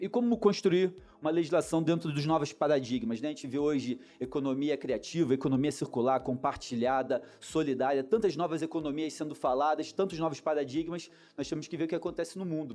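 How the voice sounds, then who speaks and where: With a Rio de Janeiro accent, a man speaks at a fairly quick pace in a fairly high, dark, mellow voice with ordinary pitch variation. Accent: carioca (Rio de Janeiro). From Niterói, Rio de Janeiro, Brazil. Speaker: lawyer. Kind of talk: conference talk.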